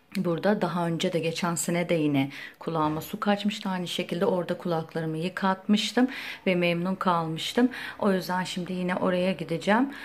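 Fairly quick speech from a woman with a fairly low pitch and ordinary pitch variation, over noticeable background noise. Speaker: lifestyle vlogger. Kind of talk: casual vlog chat.

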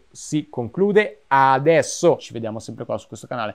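A man's voice against a quiet background. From Italy. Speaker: YouTuber and film director; video essay creator. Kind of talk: vlog monologue. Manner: halting with frequent repetitions. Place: home room. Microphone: lapel.

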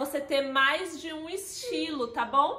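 A woman's raised, projected voice, with audible room echo and light background noise. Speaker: style consultant vlogger. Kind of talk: tutorial. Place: home room.

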